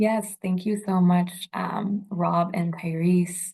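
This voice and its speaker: Against a quiet background, a woman talks in a somewhat breathy voice. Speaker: meeting facilitator. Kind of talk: public meeting facilitation. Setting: video call. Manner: slow, deliberate.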